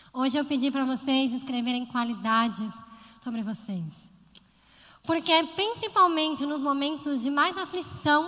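A woman's raised, projected, high-pitched voice with lively intonation, moderate pace and long, frequent pauses, plus audible room echo. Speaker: lay preacher. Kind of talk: sermon.

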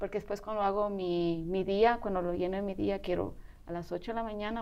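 A woman's dark, mellow tone at a medium pitch, very fast pace and monotone, flat intonation. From Spain. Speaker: bodybuilder and mother. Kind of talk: interview testimony.

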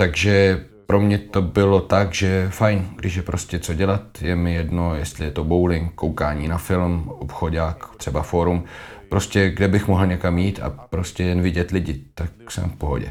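A man with a very deep, low pitch and fairly even intonation at a fairly slow pace, over noticeable background noise. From Texas, San Antonio. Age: 30s. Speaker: professional basketball player. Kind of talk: casual interview.

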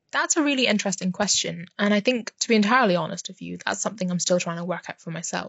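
Speaking very fast with hardly any pauses, a woman with a British accent uses a medium pitch, ordinary pitch variation and big swings in loudness. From UK (moved from Myanmar at five). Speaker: PhD researcher. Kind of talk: casual chat.

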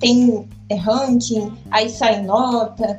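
Monotone, flat intonation amid noticeable background noise. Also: woman. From Rio de Janeiro, Brazil. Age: 20s. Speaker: medical student. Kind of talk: casual chat.

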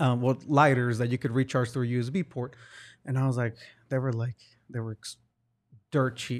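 A man with a Spanish accent speaks at a medium pitch and moderate pace in a monotone, flat intonation, with long, frequent pauses over a quiet background. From Hidalgo, Mexico, then Oklahoma. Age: 30s. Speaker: entrepreneur and merchant liaison. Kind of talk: casual interview chat.

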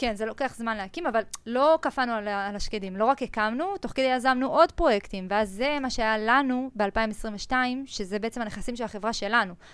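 In a normal speaking voice, a woman speaks at a moderate pace with fairly high pitch and ordinary pitch variation. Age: 20s. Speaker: entrepreneur, energy company CEO. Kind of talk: casual interview.

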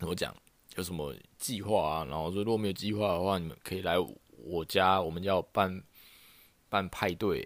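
A man's very deep, low pitch and animated tone at a moderate pace, broken by long, frequent pauses. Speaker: podcast host. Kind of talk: casual solo monologue. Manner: animated, lots of laughter and filler.

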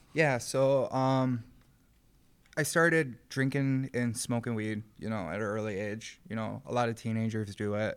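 A man talks in an unremarkable speaking voice at medium pitch with ordinary pitch variation. The recording is very clean, with a silent background. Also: fairly slow pace. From Rochester, New York, west side. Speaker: recovering addict, program graduate. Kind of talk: testimony. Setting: studio.

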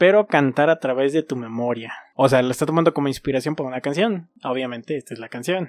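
Fairly high in pitch, a man speaks at a very fast pace with hardly any pauses. His voice shows ordinary pitch variation in a dry, close sound without echo. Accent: Mexican. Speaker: podcast co-host. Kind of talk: casual chat.

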